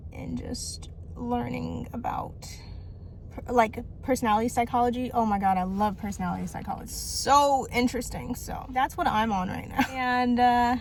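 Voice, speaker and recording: There is noticeable background noise as a woman speaks at a moderate pace. Her loudness swings widely. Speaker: vlogger. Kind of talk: casual vlog monologue. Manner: rambling, run-on sentences with stutters.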